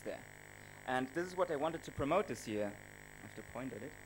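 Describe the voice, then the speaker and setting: A man talks at a fairly quick pace with a German accent. Music plays in the background. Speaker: travel blogger and videographer. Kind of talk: conference presentation. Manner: hesitant, many fillers.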